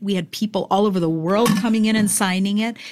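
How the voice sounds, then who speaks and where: A woman speaks at a medium pitch. The recording is very clean with a silent background. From New York City. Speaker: pastor. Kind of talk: interview. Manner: animated.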